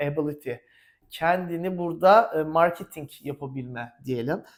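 Fairly slow speech with ordinary pitch variation on a very clean recording with a silent background. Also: man. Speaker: English teacher. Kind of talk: tutorial. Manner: animated.

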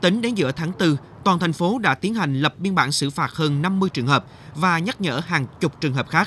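Bright and sharp in tone, a man's high-pitched voice moves at a fairly quick pace with ordinary pitch variation. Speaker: TV news reporter. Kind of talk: scripted narration. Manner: formal.

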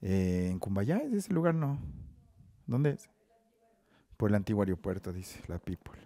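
A man's fairly low, dark, mellow voice at a moderate pace, with lively intonation, long, frequent pauses and a dry sound with no echo. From Ecuador, Ambato; Ecuador. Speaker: rapper; guest. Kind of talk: casual chat. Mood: relaxed, casual, joking. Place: studio. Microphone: headset.

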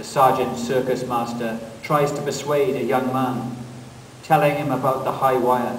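A man talks at a fairly slow pace and a medium pitch. Noticeable background noise runs underneath. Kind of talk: poem performed.

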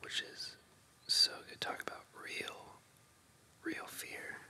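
Someone whispers over noticeable background noise. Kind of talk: ASMR casual talk about favorite movies. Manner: whispered.

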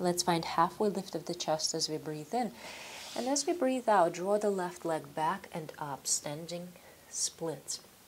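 The speaker has a plain, everyday voice with lively intonation. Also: woman, fairly low pitch for a woman, fairly slow pace. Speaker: yoga instructor. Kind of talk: guided yoga class, calm step-by-step cueing of poses and breath. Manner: slow, calm, soothing; instructional, with filler 'um' and 'uh' pauses.

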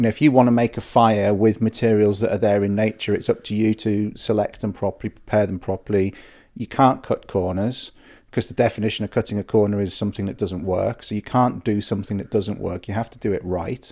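A man's fairly low, dark, mellow voice at a very fast pace, with fairly even intonation, against a quiet background. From northern England (Yorkshire/Teesdale), childhood in North Wales; northern England. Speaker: bushcraft instructor and outdoorsman; bushcraft instructor. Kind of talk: casual chat. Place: home room. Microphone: handheld.

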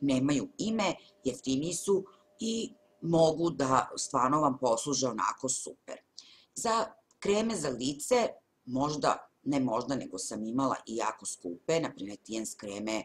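At a moderate pace, a woman speaks at a very deep, low pitch with very wide pitch swings. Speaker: beauty vlogger. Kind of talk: casual vlog chat. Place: home room. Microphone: webcam.

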